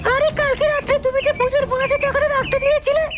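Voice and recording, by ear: A man's cartoonish character voice at an extremely high pitch, delivered at a fairly quick pace over noticeable background noise.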